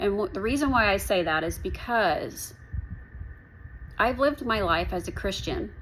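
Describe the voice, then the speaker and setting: With audible room echo, a woman speaks at a moderate pace and fairly high pitch, her pitch swinging very widely between long, frequent pauses. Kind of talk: personal testimony to camera. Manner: halting.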